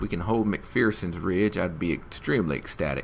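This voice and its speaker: A man speaks with a slight Southern US accent. His pace is moderate and his pitch variation ordinary. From Alabama. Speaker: gaming YouTuber. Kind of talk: let's play commentary. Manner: animated.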